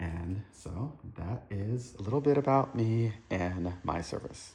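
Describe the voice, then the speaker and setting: Somewhat breathy, a man speaks at a fairly low pitch. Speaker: Marine Corps veteran. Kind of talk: casual show-and-tell monologue. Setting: at home. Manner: fast.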